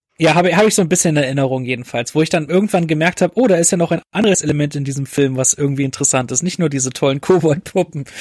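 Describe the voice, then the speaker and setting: A man talks at a very fast pace, with hardly any pauses, in a fairly high voice with ordinary pitch variation. The sound is dry and close, with no echo. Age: 20s. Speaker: film critic. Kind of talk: casual chat.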